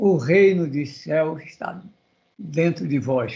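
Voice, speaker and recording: A man is speaking. His pitch swings very widely. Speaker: seminar participant. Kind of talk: panel discussion.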